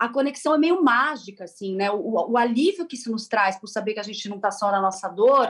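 A woman speaks at a fairly quick pace with hardly any pauses and big swings in loudness. Her voice is somewhat breathy and fairly high, with lively intonation. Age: 40s. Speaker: journalist and content creator. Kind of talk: radio interview.

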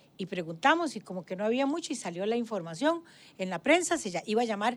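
A woman's voice with very wide pitch swings, in a very clean recording over a silent background. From Costa Rica, Guadalupe. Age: 70s. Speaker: former ombudswoman, physician. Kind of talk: interview.

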